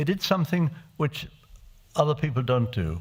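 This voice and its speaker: In a very clean recording with a silent background, a man speaks at a moderate pace in a somewhat breathy voice. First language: Czech. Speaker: refugee survivor addressing parliamentarians. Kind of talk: testimony. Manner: halting with frequent hesitations.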